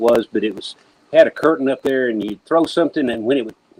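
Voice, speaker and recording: This man talks at a medium pitch, and the sound is dry and close with no echo. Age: 60s. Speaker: evangelist's son and church worker. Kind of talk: casual chat. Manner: halting, many fillers and restarts.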